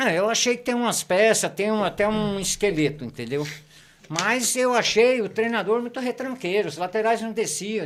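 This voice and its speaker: A man's high-pitched voice with ordinary pitch variation at a moderate pace. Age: 60s. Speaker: football fan commentator. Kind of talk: casual chat. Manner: animated.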